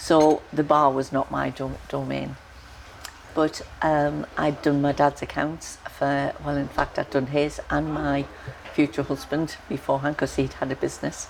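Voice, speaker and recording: At a fairly slow pace, a woman speaks through noticeable background noise. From northeast England, Sunderland. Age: 70s. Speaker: author. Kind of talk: life story interview. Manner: halting, with fillers and restarts.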